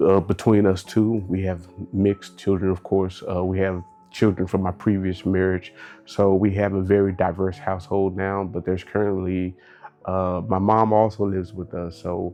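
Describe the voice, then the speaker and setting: Over music in the background, a man with an American accent speaks in a flat monotone at a very deep, low pitch. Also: moderate pace. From Texas, Dallas. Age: 30s. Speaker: military veteran. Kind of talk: interview.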